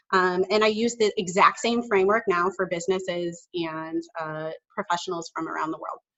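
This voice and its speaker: A woman with a slight Chicago accent talks at a moderate pace, with hardly any pauses and ordinary pitch variation. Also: medium pitch for a woman. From Chicago suburbs, US Midwest. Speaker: communication consultant and speech-language pathologist. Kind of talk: podcast interview.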